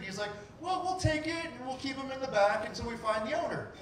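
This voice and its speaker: A man is speaking in a room with audible echo. Light background noise is present. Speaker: storyteller. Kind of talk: live personal storytelling. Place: stage.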